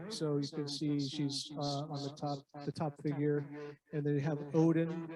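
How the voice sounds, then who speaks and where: A man's fairly even intonation and fairly slow pace come through noticeable background noise. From Northwest Coast native (Tlingit). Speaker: glass artist. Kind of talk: public artist talk. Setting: room with echo. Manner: casual, relaxed.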